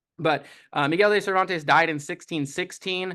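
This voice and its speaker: A man against a quiet background. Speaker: book discussion leader. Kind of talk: lecture. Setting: church group with live audience. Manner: fast.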